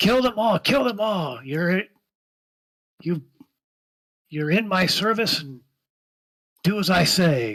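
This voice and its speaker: Shouting in a high-pitched put-on character voice, a man goes at a fairly slow pace with long, frequent pauses. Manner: screaming, commanding.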